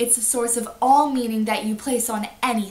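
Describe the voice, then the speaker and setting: A woman speaks in a high voice with ordinary pitch variation. There is noticeable background noise. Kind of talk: casual talk to camera.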